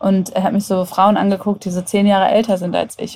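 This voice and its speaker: A woman speaks at a very fast pace in a somewhat breathy voice. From Germany, Hannover. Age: 30s. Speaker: app developer and agency owner. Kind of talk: casual interview.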